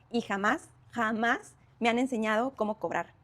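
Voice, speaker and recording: With a Mexican accent, a woman speaks at a fairly high pitch. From Mexico. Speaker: career content creator. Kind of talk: motivational talk to camera. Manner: conversational.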